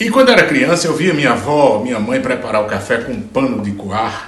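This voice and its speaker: With a Ceará accent, a man talks at a moderate pace with very wide pitch swings, amid noticeable background noise and audible room echo. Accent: northeastern Brazilian Portuguese (Ceará). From Brazil, Ceará backlands (Juazeiro do Norte). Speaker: singer-songwriter. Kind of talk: casual interview answer. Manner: halting, with repetitions.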